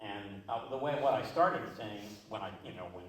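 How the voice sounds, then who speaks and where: Amid noticeable background noise and audible room echo, a man talks at a very fast pace with a fairly low pitch and ordinary pitch variation. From Cleveland, Ohio, US. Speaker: jazz vocalist. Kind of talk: masterclass Q&A.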